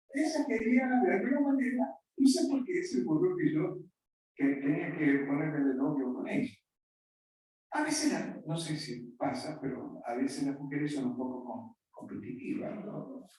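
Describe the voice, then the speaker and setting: At a fairly slow pace, the speech carries audible room echo. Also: man. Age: 70s. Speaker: pastor. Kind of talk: sermon. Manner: conversational.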